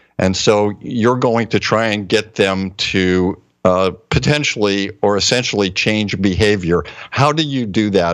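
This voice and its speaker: This man talks at a fairly slow pace with a fairly low pitch and ordinary pitch variation. It is a normal speaking voice. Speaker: co-host, medical doctor. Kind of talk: interview. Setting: online video show.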